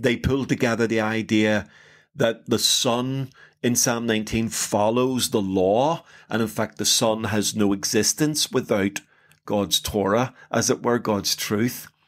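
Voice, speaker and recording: A man with an Irish accent, medium pitch, fairly slow pace, fairly even intonation and very even loudness, in a very clean recording with a silent background. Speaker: podcast host. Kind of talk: casual chat.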